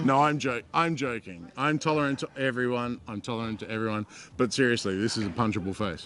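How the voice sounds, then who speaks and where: At a fairly quick pace, a man speaks in a normal speaking voice at medium pitch with ordinary pitch variation. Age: 40s. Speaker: comedian. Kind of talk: casual chat. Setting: bar at comedy event.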